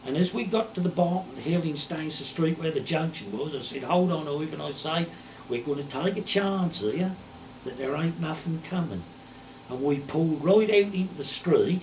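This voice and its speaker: A man with a strong Suffolk accent, fairly high pitch and ordinary pitch variation, at a moderate pace, with noticeable background noise. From Suffolk, England. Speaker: retired poacher. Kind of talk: storytelling. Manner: broad dialect speech.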